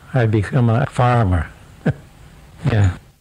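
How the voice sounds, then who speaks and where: Over noticeable background noise, a man talks at a fairly slow pace in a medium pitch. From Romania, western village. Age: 80s+. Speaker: farmer and war veteran. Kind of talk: interview testimony. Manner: halting.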